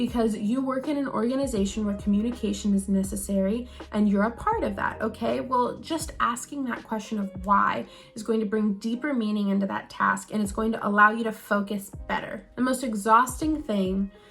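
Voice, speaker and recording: With an American accent, the speaker talks at a fairly quick pace with hardly any pauses and ordinary pitch variation. Music plays in the background. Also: woman, fairly high pitch for a woman. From US West Coast, Silicon Valley. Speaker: lifestyle vlogger. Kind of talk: advice monologue to camera. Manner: fast; energetic.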